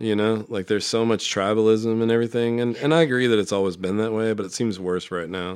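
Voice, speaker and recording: On a very clean recording with a silent background, a man with an American accent talks at a very fast pace with hardly any pauses. His pitch is fairly low and his intonation fairly even. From Nebraska, Omaha. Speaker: recovering alcoholic guest. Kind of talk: casual chat.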